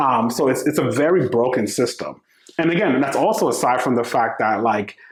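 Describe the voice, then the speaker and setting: A man at a medium pitch with lively intonation, a fairly quick pace and very even loudness. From US Northeast, the Bronx, New York. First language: Spanish. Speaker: startup founder. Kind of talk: podcast interview. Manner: casual, conversational.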